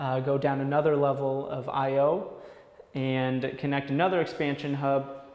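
At a moderate pace, a man talks while the room audibly echoes his voice. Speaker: sales engineer. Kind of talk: product demo explanation. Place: empty room.

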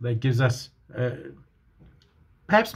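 This man's voice is somewhat breathy. He talks at a moderate pace. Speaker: home church preacher. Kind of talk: sermon. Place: home room. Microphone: phone near.

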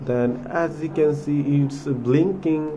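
Slow speech in a dark, mellow tone, with ordinary pitch variation and audible room echo. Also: man, fairly high pitch for a man.

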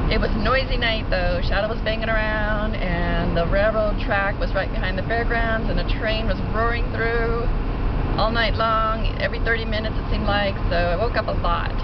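Over loud background noise, a woman speaks at a moderate pace in a dry sound with no echo. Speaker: traveler vlogger. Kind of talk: casual vlog chat. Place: car. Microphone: phone near.

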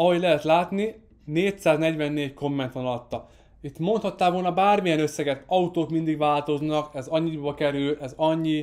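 A man with a fairly high pitch speaks at a fairly slow pace with hardly any pauses and fairly even intonation against a quiet background. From Hungary. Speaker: marketing course creator. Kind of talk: online course lesson. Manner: occasional slips. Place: studio. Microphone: studio mic.

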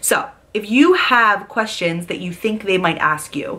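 In a bright, sharp tone, a woman speaks with lively intonation. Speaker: vlogger sharing application tips. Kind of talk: casual vlog chat. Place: home room. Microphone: phone near.

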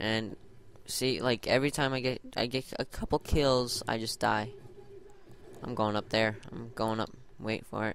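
A man talks at a medium pitch and a fairly slow pace. His intonation stays flat and monotone, with long, frequent pauses. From Ireland. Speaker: gaming YouTuber. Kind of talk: gameplay commentary. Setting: gaming headset. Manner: hesitant, many ums.

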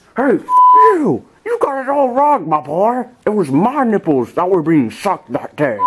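A high-pitched man at a moderate pace, with very wide pitch swings, very even loudness and sound effects in the background. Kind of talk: comic overacting. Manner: loud, boastful, crude, rambling.

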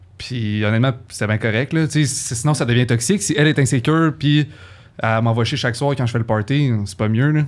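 The man's pitch varies in an ordinary way as he talks at a fairly quick pace. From Quebec. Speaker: university student; podcast guest. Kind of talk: casual chat. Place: studio. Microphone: studio mic.

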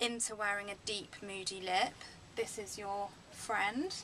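The voice belongs to a woman. There is light noise in the background. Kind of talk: tutorial. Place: office. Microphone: phone near.

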